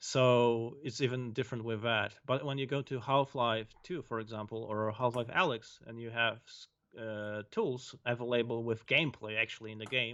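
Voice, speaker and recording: A man's medium-pitched voice at a moderate pace, fairly even in intonation, with big swings in loudness and hardly any pauses. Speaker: game designer. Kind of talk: casual chat.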